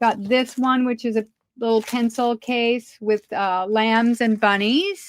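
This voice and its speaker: A woman speaks loudly at a high pitch. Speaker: online seller of craft supplies. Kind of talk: live sales stream. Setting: live stream. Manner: hesitant, many fillers. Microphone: no echo, audible.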